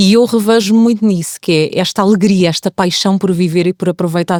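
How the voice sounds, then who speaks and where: This woman has an unremarkable speaking voice at a medium pitch, with fairly even intonation. She talks at a fairly quick pace, and the sound is dry and close with no echo. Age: 40s. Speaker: podcast guest. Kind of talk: casual chat.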